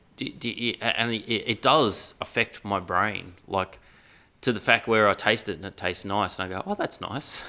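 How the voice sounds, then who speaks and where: A man with an Australian accent, bright, sharp tone and fairly even intonation. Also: fairly low pitch for a man, moderate pace. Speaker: podcast host. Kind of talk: casual chat.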